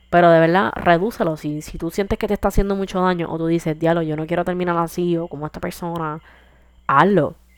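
A woman uses a normal speaking voice, fairly low in pitch with fairly even intonation, talking at a fairly quick pace in a very clean recording with a silent background. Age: 20s. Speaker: podcast host. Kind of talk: casual monologue. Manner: casual, code-switching with English.

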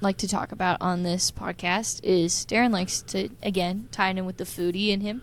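A woman speaks at a moderate pace in a medium pitch, with a plain, everyday voice. The recording is very clean, with a silent background. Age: 20s. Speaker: podcast host. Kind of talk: casual chat.

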